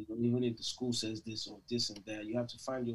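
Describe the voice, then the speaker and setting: Speaking at a fairly quick pace, a man uses a somewhat breathy, medium-pitched voice with monotone, flat intonation. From Nigeria (Lagos). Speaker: musician. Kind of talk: interview.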